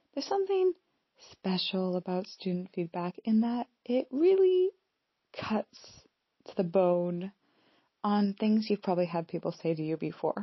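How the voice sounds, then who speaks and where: A woman with an American accent speaks at a fairly slow pace, leaving long, frequent pauses. Her voice is somewhat breathy, medium in pitch, with ordinary pitch variation. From US Pacific Northwest. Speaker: podcast host and coach, former university lecturer. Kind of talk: solo podcast monologue, reflective.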